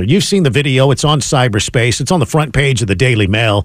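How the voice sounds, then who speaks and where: Somewhat breathy and fairly high-pitched, a man speaks at a fairly quick pace with very wide pitch swings. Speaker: radio host. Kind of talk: talk radio banter and news commentary. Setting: radio studio.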